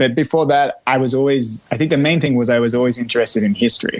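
A man at a medium pitch with an Australian accent, talking at a very fast pace. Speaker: singer-songwriter and guitarist. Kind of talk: casual interview chat.

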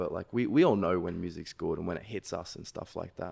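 A man with an Australian accent talks at a fairly quick pace in a dark, mellow tone. The recording is very clean, with a silent background. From Sydney, Australia. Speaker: electronic music producer. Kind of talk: casual chat. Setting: studio.

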